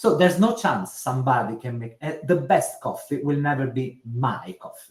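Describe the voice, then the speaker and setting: A man with an Italian accent and a somewhat breathy, fairly high voice speaks at a moderate pace, with very wide pitch swings and big swings in loudness. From Italy. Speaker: social care commissioner. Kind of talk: webinar discussion. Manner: halting.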